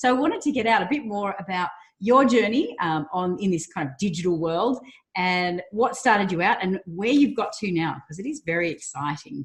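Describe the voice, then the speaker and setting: An upbeat, somewhat breathy woman at medium pitch, fairly quick in pace, with very wide pitch swings. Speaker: interview host. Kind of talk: interview questions.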